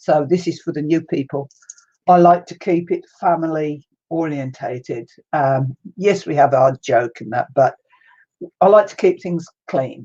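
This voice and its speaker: In a New Zealand accent, a woman with a very deep, low pitch and a dark, mellow tone speaks at a fairly slow pace, her pitch varying in an ordinary way while her loudness swings widely. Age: 70s. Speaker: crafting livestreamer. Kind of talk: casual livestream chat.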